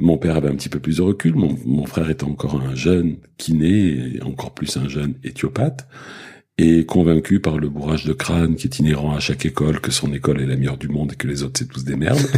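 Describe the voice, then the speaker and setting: Ordinary pitch variation at a fairly quick pace. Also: man, very deep, low pitch for a man. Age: 60s. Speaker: osteopath. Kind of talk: casual chat. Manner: halting.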